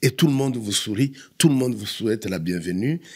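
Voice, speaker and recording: Very wide pitch swings mark this man's voice. His pace is moderate. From Democratic Republic of the Congo. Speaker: immigrant guest. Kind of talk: podcast interview.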